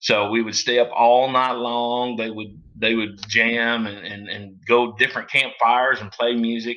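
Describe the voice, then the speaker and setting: In a Southern US accent, a man speaks at a fairly slow pace and medium pitch with monotone, flat intonation, while noticeable background noise runs underneath. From US South, southeast Missouri. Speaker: bluegrass musician. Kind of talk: casual interview chat. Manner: halting, many fillers.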